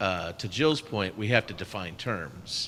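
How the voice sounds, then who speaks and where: A man speaks loudly in a bright, sharp tone with lively intonation. His pace is fairly slow, on a very clean recording with a silent background. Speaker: class participant. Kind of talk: Bible class discussion.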